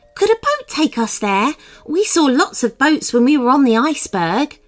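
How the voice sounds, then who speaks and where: A woman puts on a character voice. Her pitch sits high. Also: moderate pace. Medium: read story.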